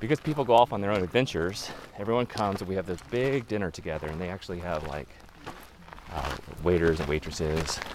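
Over noticeable background noise, a man with a very deep, low pitch talks at a very fast pace with lively intonation. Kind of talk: casual chat. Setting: outdoors. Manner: friendly.

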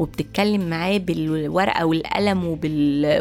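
Noticeable background noise runs under the recording. A woman speaks with an Egyptian accent. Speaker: podcast host. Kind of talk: solo podcast monologue.

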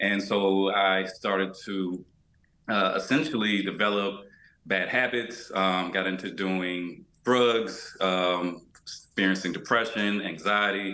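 A man with a fairly low pitch speaks at a very slow pace with fairly even intonation and audible room echo. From US South, Georgia. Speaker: fitness coach and yoga instructor. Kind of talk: interview.

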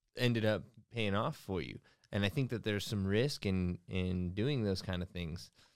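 An unremarkable speaking voice at a fairly slow pace, with ordinary pitch variation. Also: man, very clean recording, silent background. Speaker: company executive and podcast co-host. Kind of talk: casual interview. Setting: studio.

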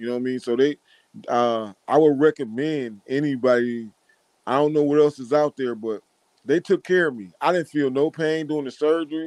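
A man with an American accent has a plain, everyday voice and fairly high pitch. His pitch variation is ordinary, and the sound is dry and close with no echo. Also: moderate pace. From Wisconsin (Racine). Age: 40s. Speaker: visually impaired guest. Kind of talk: casual interview.

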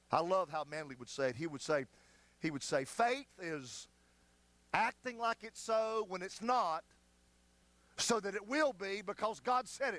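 An animated man's voice, high-pitched and bright with a sharp edge, at a moderate pace, with very wide pitch swings, big jumps in loudness, long frequent pauses, and a dry, close sound with no echo. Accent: Southern US. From US South, North Carolina foothills. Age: 50s. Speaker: pastor. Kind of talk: sermon. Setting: church.

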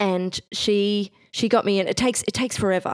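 On a very clean recording with a silent background, a woman speaks with ordinary pitch variation in a dry, close sound with no echo. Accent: Australian. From Bendigo, Central Victoria, Australia. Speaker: exhibition designer. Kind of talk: interview conversation.

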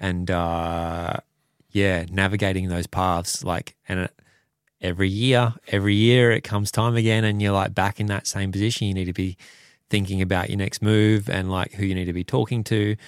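In an Australian accent, a man with a fairly low pitch speaks at a moderate pace with fairly even intonation, in a dry, close sound with no echo and a very clean recording with a silent background. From Western Australia (Perth). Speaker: motorcycle racer. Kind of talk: casual interview.

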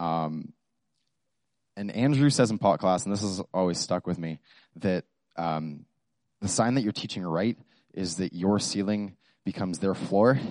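Mumbling at a moderate pace with long, frequent pauses and ordinary pitch variation, the speaker comes through with a dry, close sound with no echo against a quiet background. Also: man, very deep, low pitch for a man. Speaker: student devotional speaker. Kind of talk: devotional talk. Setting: microphone to small audience. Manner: halting.

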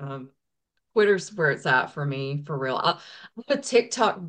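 Speaking with a Southern US accent, a woman keeps a moderate pace and lively intonation. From US South, eastern Tennessee. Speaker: indie singer-songwriter. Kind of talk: interview. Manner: hesitant, many fillers.

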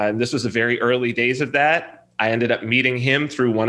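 The speaker talks at a very fast pace with a Californian accent, a bright, sharp tone and fairly even intonation. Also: man. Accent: Californian American. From Southern California. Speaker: software developer and reality TV personality. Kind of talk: casual interview conversation.

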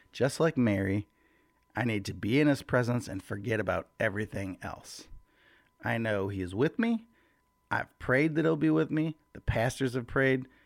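On a very clean recording with a silent background, a man uses a normal speaking voice at a medium pitch with lively intonation. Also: moderate pace. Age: 40s. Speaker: church worship leader and devotional podcaster. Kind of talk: casual devotional talk. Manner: casual, conversational.

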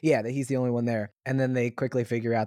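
In a very clean recording with a silent background and a dry, close sound with no echo, a man with an American accent speaks in a dark, mellow tone. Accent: slight Southern Maryland, comes out sometimes. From US South, Southern Maryland. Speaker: podcast co-host. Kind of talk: casual chat. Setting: home recording room.

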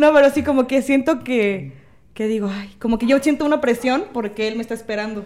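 Her voice sits high and moves with ordinary pitch variation. The woman speaks at a fairly quick pace. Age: 20s. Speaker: lash technician. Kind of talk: casual chat.

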